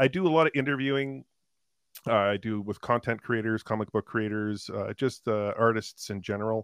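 At a medium pitch, a man speaks in an unremarkable speaking voice, moving at a moderate pace with ordinary pitch variation. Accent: Canadian. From Canada, Toronto area. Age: 50s. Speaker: interviewer of content creators. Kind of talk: casual chat.

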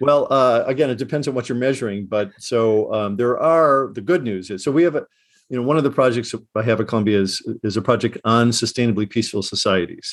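A man of medium pitch with a Midwestern accent, talking at a very fast pace with ordinary pitch variation, in a very clean recording with a silent background. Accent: American Midwestern. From US Midwest, Chicago. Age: 60s. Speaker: professor, conflict resolution expert. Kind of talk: interview. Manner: halting, many fillers and restarts.

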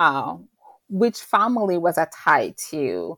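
The recording of this woman is very clean, with a silent background. Her sound is dry and close, with no echo. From Rwanda, raised in Belgium. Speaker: university lecturer and author. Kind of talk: interview.

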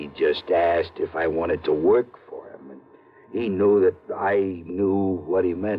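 Mumbling in a put-on character voice, a man with a very deep, low pitch talks at a fairly slow pace, his loudness swinging widely. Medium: old radio play. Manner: terse, mumbling, uneducated street talk.

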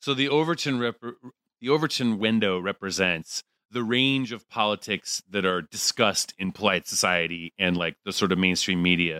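This man has a fairly low pitch and a bright, sharp tone, speaking at a moderate pace with lively intonation. The sound is dry and close with no echo, on a very clean recording with a silent background. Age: 40s. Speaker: podcast guest. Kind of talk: casual chat.

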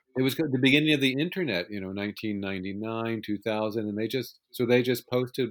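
A plain, everyday voice belongs to this man, who talks at a moderate pace with a medium pitch and ordinary pitch variation. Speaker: author of film making-of books. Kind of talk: interview.

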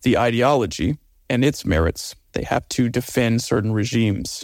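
A man talks at a moderate pace on a very clean recording with a silent background. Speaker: humanitarian activist and nonprofit consultant. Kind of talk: interview conversation. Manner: frequent fillers and hesitations.

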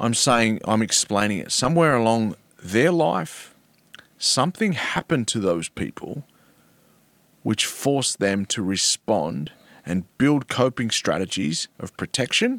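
A man with an Australian accent speaks at a fairly slow pace in a medium pitch, making very wide pitch swings. The sound is dry and close with no echo, and the recording is very clean with a silent background. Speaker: former rugby league player and mental health advocate. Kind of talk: casual interview conversation. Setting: studio, in person. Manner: articulate, storytelling.

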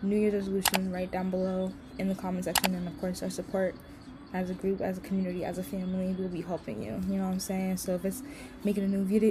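This woman talks against noticeable background noise. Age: 20s. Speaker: podcast host and digital artist. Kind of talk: casual solo vlog talk. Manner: rambling, fast flowing.

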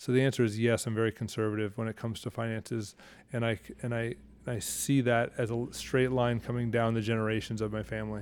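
The man talks very fast. His delivery is flat and monotone. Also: medium pitch for a man. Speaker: potter and teacher. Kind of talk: interview conversation.

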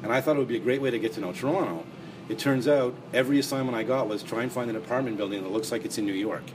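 A man's very fast, medium-pitched speech with a Canadian accent, ordinary pitch variation, and noticeable background noise. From Montreal, Canada. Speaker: crime author and anthology editor. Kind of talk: interview.

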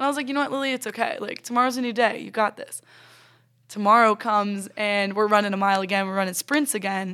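In a very clean recording with a silent background, a woman speaks with an American accent at a very fast pace. Her tone is bright and sharp, and her intonation is fairly even. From Florida. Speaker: college volleyball player. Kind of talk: casual interview.

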